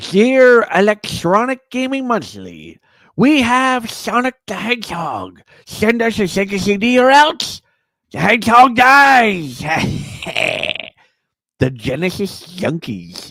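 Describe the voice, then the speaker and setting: A man puts on a high-pitched character voice. He talks at a fairly slow pace with long, frequent pauses. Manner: menacing, unhinged.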